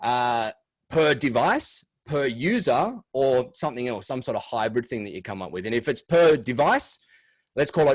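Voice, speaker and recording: A man's medium-pitched voice, with ordinary pitch variation, stands out against a quiet background. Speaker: MSP business coach. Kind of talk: webinar presentation. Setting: video call. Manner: fast.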